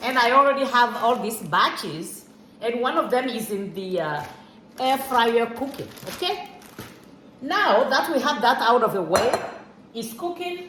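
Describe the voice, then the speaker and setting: Amid noticeable background noise and audible room echo, a woman speaks at a high pitch and a fairly slow pace, her pitch swinging very widely, with long, frequent pauses. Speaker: home cook, cooking channel host. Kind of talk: cooking tutorial. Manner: halting, with fillers and repetitions.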